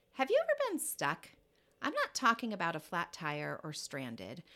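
On a very clean recording with a silent background, a woman talks at a moderate speed. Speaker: podcast host. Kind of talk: casual interview chat; scripted intro and outro.

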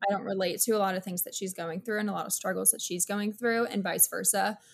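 A woman's unremarkable speaking voice at a medium pitch, with an American accent, in a very clean recording over a silent background. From South Florida (West Palm Beach), early childhood North Carolina. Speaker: social media creator. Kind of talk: podcast interview.

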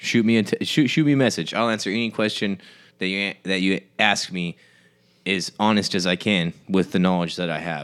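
A man with an ordinary speaking voice speaks at a moderate pace, his fairly low pitch moving with ordinary variation, on a very clean recording with a silent background. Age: 30s. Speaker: podcast host. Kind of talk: casual chat. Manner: relaxed, slangy.

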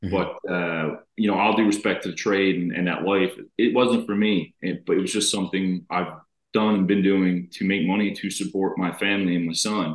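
A man with a Newfoundland accent talks at a fairly quick pace. His pitch sits fairly low. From Newfoundland, Canada. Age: 30s. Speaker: reality TV contestant. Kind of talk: casual interview. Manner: animated.

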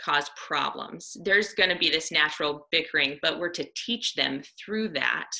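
A woman's fairly low voice, American accent, moderate pace. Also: lively intonation, hardly any pauses. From US Midwest, Iowa. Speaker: missionary and army veteran. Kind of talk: devotional talk. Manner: halting.

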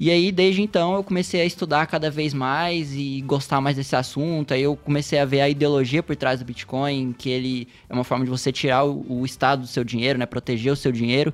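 Music plays behind a man whose voice sits fairly high. His pitch varies in an ordinary way, and he barely pauses. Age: 20s. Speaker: software developer, crypto guest expert. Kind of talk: casual podcast interview. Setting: studio.

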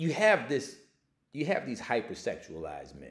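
Audible room echo surrounds a man as he speaks. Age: 40s. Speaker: podcast host. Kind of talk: casual monologue. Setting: home setup with Instagram Live.

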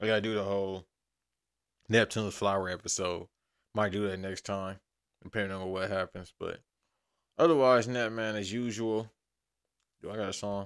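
A man with a fairly low pitch and fairly even intonation, at a fairly quick pace with long, frequent pauses, in a very clean recording with a silent background. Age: 30s. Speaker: podcast host. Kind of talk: casual monologue. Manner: rambling, loose delivery.

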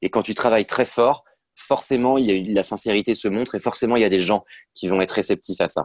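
With an ordinary speaking voice, a man talks at a fairly quick pace, with a fairly low pitch and fairly even intonation, against a quiet background in a dry, close sound with no echo. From western France, near Nantes. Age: 30s. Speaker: actor and author. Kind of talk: casual interview. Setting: video call.

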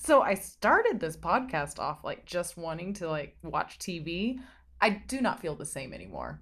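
This woman's voice sits at a fairly low pitch, with vocal fry. Her intonation is lively. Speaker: poet and podcast host. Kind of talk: poetry reading, spoken word. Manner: slow, hushed, sensual, with repetition and rising intensity.

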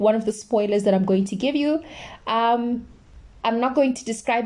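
Pitch shifts in an ordinary way. The reading aloud is plain.

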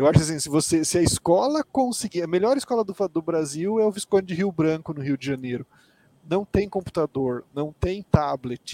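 A man's high-pitched voice with a dark, mellow tone, lively intonation, big swings in loudness and a moderate pace, dry and close with no echo. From Mato Grosso do Sul, Brazil. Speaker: tech company executive. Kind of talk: interview.

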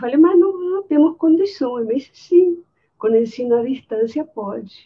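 A woman's high voice in a Spanish accent, with lively intonation. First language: Spanish (speaking Portuguese). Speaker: architecture professor. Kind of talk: anecdote in webinar.

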